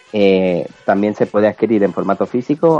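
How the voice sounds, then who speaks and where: A man's voice with ordinary pitch variation, dry and close with no echo, over noticeable background noise. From Mallorca, Spain. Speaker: podcast co-host. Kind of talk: news reading; casual chat.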